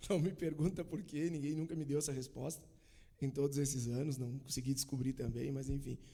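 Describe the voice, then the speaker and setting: A dark, mellow tone comes with some breathiness. The intonation is fairly even. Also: man. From Bento Gonçalves, Rio Grande do Sul, Brazil. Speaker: church member sharing testimony. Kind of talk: casual chat.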